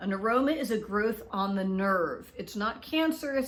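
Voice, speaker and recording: A woman with a medium pitch talks at a moderate pace in an unremarkable speaking voice. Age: 60s. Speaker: product reviewer, video blogger. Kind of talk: product review video. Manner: casual, conversational with fillers.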